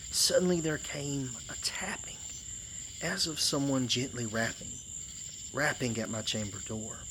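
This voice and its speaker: Someone with a strong Georgia accent speaks at a moderate pace. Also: man. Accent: thick Southern US (Georgia). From Georgia, US South. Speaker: storyteller. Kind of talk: poetry reading, campfire tale.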